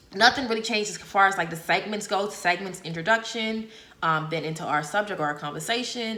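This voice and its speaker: Heard through audible room echo and noticeable background noise, a woman speaks in an animated tone at a medium pitch with ordinary pitch variation. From Bahamas. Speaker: podcast host. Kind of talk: solo podcast monologue.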